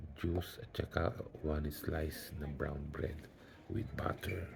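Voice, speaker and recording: Quiet, very slow speech from a man with a very deep, low pitch and fairly even intonation. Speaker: vlogger. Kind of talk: video diary. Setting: hospital bed. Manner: quiet, low voice.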